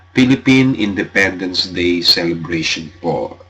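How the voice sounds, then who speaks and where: Through noticeable background noise, a man speaks at a very slow pace with a very deep, low pitch. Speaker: radio host. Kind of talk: radio show sign-off chat. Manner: halting.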